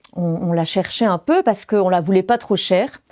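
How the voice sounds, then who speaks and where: A woman speaks with a Belgian accent at a medium pitch. Her pace is moderate. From Belgium. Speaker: former French teacher, storyteller. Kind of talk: stage storytelling.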